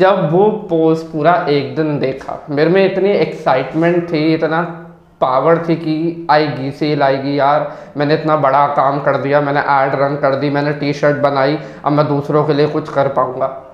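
A man with a fairly high pitch speaks in a monotone, flat intonation, with audible room echo and noticeable background noise. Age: young. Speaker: digital marketer and copywriter. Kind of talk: personal storytelling monologue.

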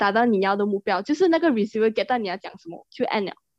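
Using an ordinary speaking voice, a woman talks at a fairly high pitch with lively intonation. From Malaysia. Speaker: podcast co-host. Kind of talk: casual chat.

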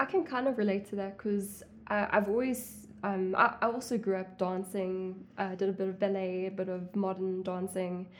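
A woman talks in a normal speaking voice at a medium pitch. Her pace is moderate and her intonation fairly even. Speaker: interviewer, young actress. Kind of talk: casual interview chat.

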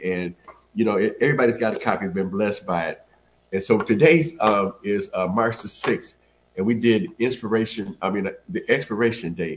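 At a fairly quick pace, a man of medium pitch talks in a plain, everyday voice with ordinary pitch variation. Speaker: church elder, devotional teacher. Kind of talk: devotional teaching, casual chat.

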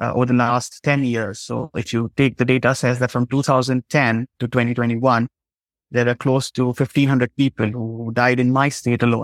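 With an Indian accent, a man speaks at a moderate pace and medium pitch in a monotone, flat intonation, on a very clean recording with a silent background and a dry, close sound with no echo. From Jharkhand, India. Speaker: law lecturer and human rights advocate. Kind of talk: interview.

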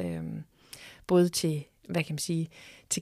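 A woman on a very clean recording with a silent background and a dry, close sound with no echo. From Denmark, Horsens (East Jutland). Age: 50s. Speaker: museum director. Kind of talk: interview. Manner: hesitant, many fillers.

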